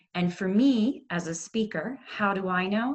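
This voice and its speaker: A woman speaks in a calm tone with a somewhat breathy quality. Her intonation is lively and her pace fairly slow. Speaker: yoga and mindfulness instructor. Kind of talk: workshop instruction.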